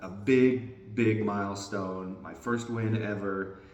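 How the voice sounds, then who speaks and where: With noticeable background noise and audible room echo, a man talks in a fairly even intonation. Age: 40s. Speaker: disc golf vlogger. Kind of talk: casual vlog update. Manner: hesitant, many fillers.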